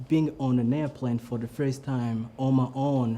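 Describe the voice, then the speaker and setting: With a Burundian accent, a man speaks at a medium pitch in a dark, mellow tone, keeping a fairly slow pace and fairly even intonation. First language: not English (English is third language). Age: 20s. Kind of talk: personal story talk. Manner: improvised, hesitant.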